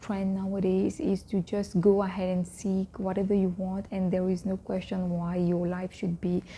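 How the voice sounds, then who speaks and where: Soft-spoken and somewhat breathy, a woman talks at a moderate pace with a medium pitch and a dark, mellow tone on a very clean recording with a silent background. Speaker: vlogger on Islamic faith. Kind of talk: casual talk to camera.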